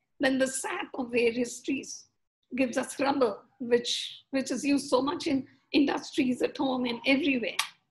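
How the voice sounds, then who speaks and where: A woman speaks with a high pitch. Her pace is moderate, and her pitch variation is ordinary. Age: 70s. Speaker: spiritual speaker. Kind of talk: lecture. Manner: halting.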